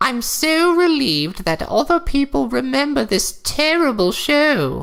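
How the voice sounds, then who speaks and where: This put-on character voice sits at a high pitch. Its pace is fairly slow. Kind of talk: comic deadpan reading. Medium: read story. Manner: prim, correcting.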